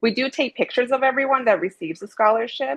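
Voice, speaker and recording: Very fast and with lively intonation, a woman talks with vocal fry. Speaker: scholarship committee interviewer. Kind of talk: casual video call interview. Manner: halting, filler-heavy.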